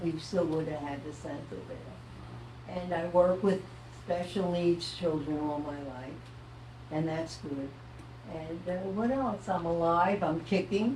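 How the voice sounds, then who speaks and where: Someone speaks at a very slow pace amid noticeable background noise, with audible room echo. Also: woman, fairly low pitch for a woman, ordinary pitch variation. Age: 90s. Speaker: local merchant and community member. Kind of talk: panel talk to audience.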